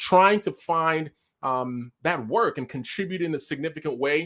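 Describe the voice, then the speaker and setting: A fairly high-pitched man's voice, bright, sharp, animated and energetic, with ordinary pitch variation on a very clean recording with a silent background. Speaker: talk show host. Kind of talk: live show hosting. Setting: live stream. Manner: animated, energetic.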